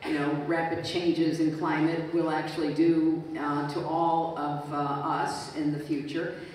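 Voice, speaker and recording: Monotone, flat speech sits in strong room echo over light background noise. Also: woman, very deep, low pitch for a woman, fairly slow pace. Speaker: guest. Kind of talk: interview answer. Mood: reflective storytelling. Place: stage.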